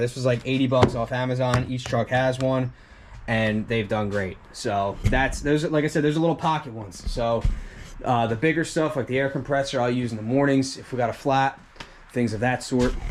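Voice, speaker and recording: In an ordinary speaking voice at medium pitch, a man talks at a moderate pace with fairly even intonation. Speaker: lawn care business owner. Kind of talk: tutorial. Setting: shop. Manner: casual, conversational.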